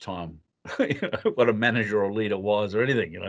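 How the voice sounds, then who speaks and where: A man at a fairly quick pace and a medium pitch. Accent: Australian. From Western Australia. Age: 60s. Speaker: leadership consultant. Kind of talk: interview.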